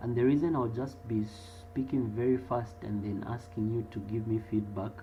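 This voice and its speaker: Over music in the background, the voice moves at a moderate pace with ordinary pitch variation. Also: man, fairly low pitch for a man. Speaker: accounting lecturer. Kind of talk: online class Q&A. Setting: live online video class.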